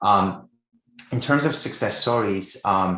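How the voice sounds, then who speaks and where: Bright and sharp in tone, a man with a Quebec accent speaks at a fairly slow pace and a fairly low pitch, with ordinary pitch variation. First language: French. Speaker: writing coach. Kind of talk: interview.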